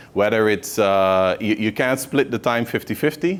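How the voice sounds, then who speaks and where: Fairly low pitch from a man at a moderate pace. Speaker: motivational speaker, entrepreneur. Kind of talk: motivational speech to students. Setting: hotel venue, audience of students. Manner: conversational with frequent fillers.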